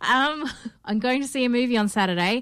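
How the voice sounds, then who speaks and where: A woman speaks with an Australian accent. The recording is very clean, and the background is silent. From Perth, Australia. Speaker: podcast host. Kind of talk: casual chat.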